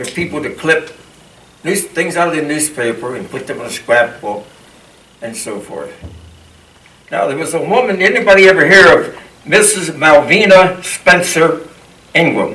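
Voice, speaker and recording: In a Pennsylvania accent, a man speaks at a moderate pace and fairly high pitch with lively intonation and long, frequent pauses, with audible room echo and noticeable background noise. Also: big swings in loudness. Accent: Pennsylvania American English. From Harrisburg, Pennsylvania. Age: 80s+. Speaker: local historian. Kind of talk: lecture.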